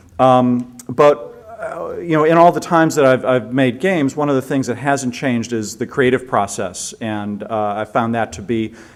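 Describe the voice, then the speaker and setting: A man's medium-pitched voice, with ordinary pitch variation, comes in an American accent. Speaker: game designer, conference speaker. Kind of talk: conference presentation. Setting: stage with audience. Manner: fast; hesitant, many fillers.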